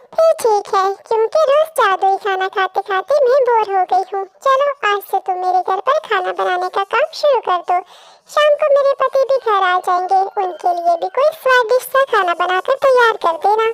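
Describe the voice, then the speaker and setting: In a cartoonish character voice, a female-sounding speaker uses an extremely high pitch at a moderate pace. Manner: confident, commanding.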